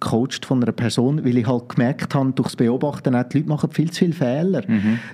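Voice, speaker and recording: Speaking with a Zurich accent, a man has a dark, mellow tone and a medium pitch with ordinary variation. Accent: Zurich Swiss German-accented German. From Switzerland, Zurich. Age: 30s. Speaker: coach and former pro wrestler. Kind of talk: podcast interview.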